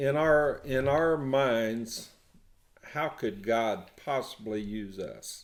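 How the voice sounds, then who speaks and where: Audible room echo surrounds a man speaking at a medium pitch. He talks at a very slow pace with lively intonation. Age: 70s. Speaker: prison ministry volunteer. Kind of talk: casual chat. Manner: halting.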